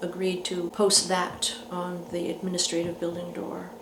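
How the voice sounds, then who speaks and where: A woman speaks at a moderate pace in a medium pitch, her intonation monotone and flat. Audible room echo and noticeable background noise are present. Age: 60s. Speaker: peace activist. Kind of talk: interview. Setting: indoors at a residence. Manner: halting, with many fillers.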